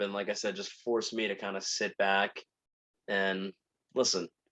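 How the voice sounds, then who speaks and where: Speaking with a New Jersey accent, a man has a bright, sharp tone. His intonation stays fairly even. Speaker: podcast host. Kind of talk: casual monologue. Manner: very fast. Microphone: new microphone.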